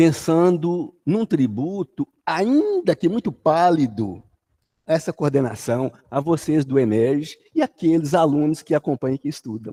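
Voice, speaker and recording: A man with a fairly high pitch and a dark, mellow tone speaks in a lively, sing-song way. The sound is dry and close, with no echo. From Brazil, Jequitinhonha Valley (Minas Gerais, near Bahia). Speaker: spiritist lecturer. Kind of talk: religious study talk. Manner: sing-song intonation.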